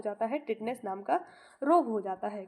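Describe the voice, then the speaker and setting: A woman is speaking here. Her pace is moderate. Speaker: online exam-prep teacher. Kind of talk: tutorial. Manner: halting, with many fillers.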